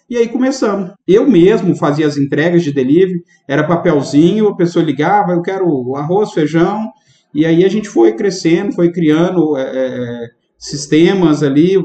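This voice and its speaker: The speaker is a man with a high-pitched voice. His pace is moderate. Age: 30s. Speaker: restaurant owner, trade association president. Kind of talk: casual interview chat.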